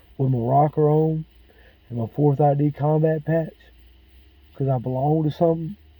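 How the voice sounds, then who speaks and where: Here a man speaks at a fairly slow pace. His pitch varies in an ordinary way. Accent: Mississippi. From Mississippi. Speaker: military veteran. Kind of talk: personal monologue.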